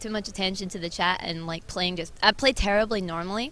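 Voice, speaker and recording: In a Scottish accent, a woman speaks at a medium pitch with a bright, sharp tone. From Scotland. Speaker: esports team manager. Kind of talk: casual interview. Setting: convention hall.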